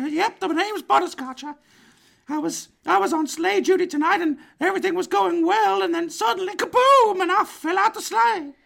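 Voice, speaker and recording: A man uses a put-on character voice pitched extremely high. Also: moderate pace. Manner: chirpy, folksy, earnest.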